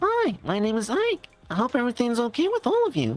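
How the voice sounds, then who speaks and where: This is a put-on character voice at a fairly high pitch. The pace is fairly quick. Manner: friendly, polite greeting.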